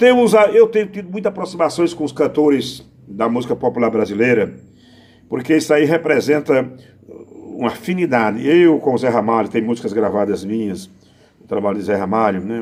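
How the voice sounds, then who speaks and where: Talking at a fairly quick pace, a man with a medium-pitched voice shows very wide pitch swings and big swings in loudness. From Brazil, Pernambuco (Northeast). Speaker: poet and improvising singer. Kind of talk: interview answers. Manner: halting.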